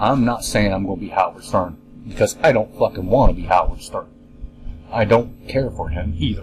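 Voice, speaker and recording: A man's fairly low voice at a moderate pace, with ordinary pitch variation and music in the background. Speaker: podcast host. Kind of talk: casual monologue. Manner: halting.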